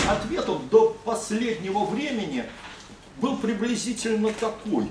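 A man speaks very slowly in a high voice, with ordinary pitch variation. Noticeable background noise can be heard. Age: 60s. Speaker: speaker. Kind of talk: ceremonial speech. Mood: respectful, proud. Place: meeting room. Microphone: camera far.

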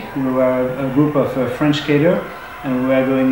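A man speaks at a moderate pace in a room with audible echo, and noticeable noise sits in the background. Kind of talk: casual vlog commentary. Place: home room.

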